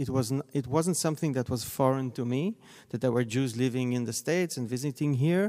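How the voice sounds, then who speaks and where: A man with an Israeli accent speaks at a fairly quick pace, his medium-pitched voice dark and mellow in tone with ordinary pitch variation. The recording is very clean, with a silent background. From Israel, Tel Aviv. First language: Hebrew. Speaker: scholar of Zionism. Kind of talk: panel discussion. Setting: stage with audience.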